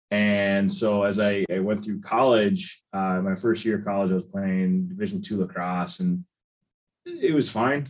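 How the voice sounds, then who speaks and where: A man with a plain, everyday voice, fairly low in pitch, speaks at a fairly slow pace with ordinary pitch variation and an American accent. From US Midwest (Chicago). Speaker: strength and conditioning coach. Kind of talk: podcast interview.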